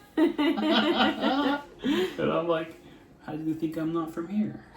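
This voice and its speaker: A man with an American accent and very wide pitch swings, over noticeable background noise. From US, Florida. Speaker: vlogger, American expat parent. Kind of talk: casual chat. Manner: animated.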